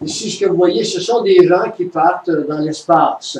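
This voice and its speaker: Over noticeable background noise, a man with a high voice speaks very slowly with ordinary pitch variation. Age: 70s. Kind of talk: religious conference talk.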